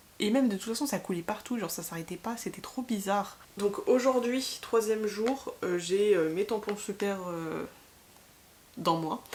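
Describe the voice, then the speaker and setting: Over noticeable background noise, a woman talks at a medium pitch. Her pace is fairly slow, with ordinary pitch variation. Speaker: vlogger. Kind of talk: casual vlog chat. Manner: hesitant, many fillers.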